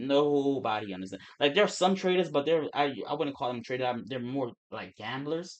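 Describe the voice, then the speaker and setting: Mumbling with hardly any pauses, a man with an American accent speaks at a fairly high pitch with lively intonation. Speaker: forex trader and streamer. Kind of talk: casual livestream chat. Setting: live stream. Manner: fast; mumbling, words run together.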